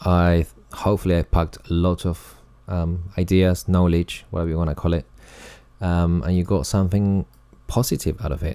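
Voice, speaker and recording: His tone dark and mellow, a man speaks at a moderate pace with a very deep, low pitch. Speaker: colorist and video tutorial creator. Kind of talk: tutorial. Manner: dry, sarcastic-sounding delivery; hesitant, many fillers and repetitions.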